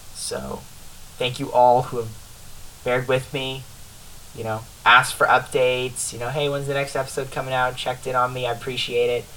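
Using monotone, flat intonation at a medium pitch, a man talks at a fairly quick pace broken by long, frequent pauses. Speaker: podcast host. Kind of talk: casual chat. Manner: halting.

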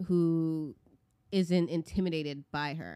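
A woman speaks at a very slow pace. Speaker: podcast co-host. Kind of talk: casual chat.

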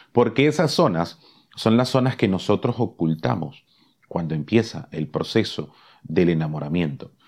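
Against a quiet background, a man with a plain, everyday voice talks at a fairly slow pace with lively intonation. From Caribbean. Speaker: podcast host, love and relationships coach. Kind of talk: motivational talk.

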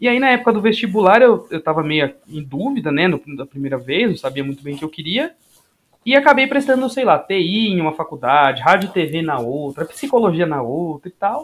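A man's high-pitched voice at a moderate pace with very wide pitch swings. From Guarulhos, São Paulo, Brazil. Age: 20s. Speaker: sports science graduate student and former athlete. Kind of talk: casual chat.

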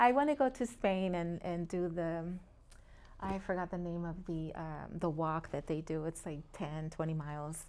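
At a moderate pace, a woman talks in a normal speaking voice, fairly low in pitch with ordinary pitch variation. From Puerto Rico, then Long Beach, California. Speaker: real estate agent. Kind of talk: casual interview.

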